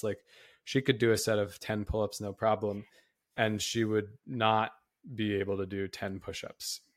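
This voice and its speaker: A man talks in an ordinary speaking voice at a moderate pace with fairly even intonation. The recording is very clean, with a silent background. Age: 30s. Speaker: exercise science professor and podcast co-host. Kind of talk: casual educational podcast discussion.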